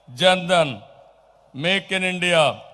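A man's raised, projected voice at a very slow pace, with fairly even intonation. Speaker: politician addressing a rally. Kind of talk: political rally speech. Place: stage. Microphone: podium.

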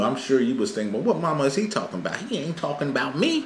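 A man is heard with audible room echo. Light background noise sits behind him. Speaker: family vlogger. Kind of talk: casual vlog chat. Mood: joking, playful explanation. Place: home room. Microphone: camera far.

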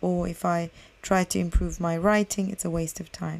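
A woman of medium pitch speaks at a fairly slow pace. Her intonation is monotone and flat. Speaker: English teacher podcaster. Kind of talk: language lesson podcast. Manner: hesitant with fillers.

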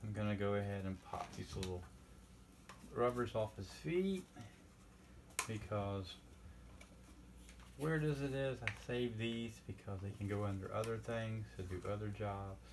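With noticeable background noise behind him, a man with a fairly low voice talks at a fairly slow pace, leaving long, frequent pauses. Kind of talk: tutorial. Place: workshop. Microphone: camera far.

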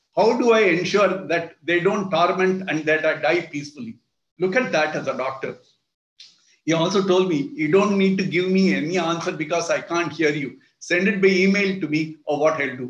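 With an Indian accent and a high voice, a man talks at a moderate pace, with audible room echo over a quiet background. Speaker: retired judge. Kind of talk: lecture. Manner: halting. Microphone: video call.

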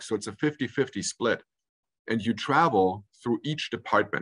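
A man talks in an ordinary speaking voice at medium pitch, with ordinary pitch variation and a fairly slow pace. The background is quiet. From Munich, Germany, then California from age 13. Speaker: hotel general manager. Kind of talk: interview. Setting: video call. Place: office. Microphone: video call.

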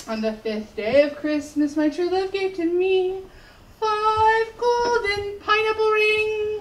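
A woman with an extremely high pitch speaks at a very slow pace, her intonation lively. Audible room echo and light background noise are present. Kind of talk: comic reading on stage. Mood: playful, comedic. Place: stage. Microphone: camera far.

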